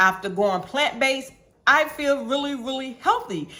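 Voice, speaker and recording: This voice has lively intonation and a moderate pace. It is an unremarkable speaking voice. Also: woman. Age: 60s. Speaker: health vlogger reviewing a detox. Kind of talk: casual review monologue. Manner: chatty, many fillers and restarts.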